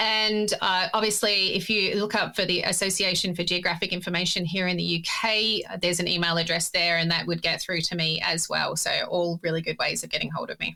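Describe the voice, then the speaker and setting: A woman's medium-pitched voice in an Australian accent, fairly quick, with flat, monotone intonation and hardly any pauses. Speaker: geospatial ethics expert. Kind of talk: interview.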